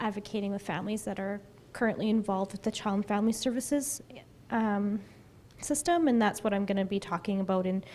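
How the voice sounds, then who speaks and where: In a Canadian accent, a soft-spoken woman with a medium pitch talks very fast, with ordinary pitch variation. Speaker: social worker. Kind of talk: conference talk.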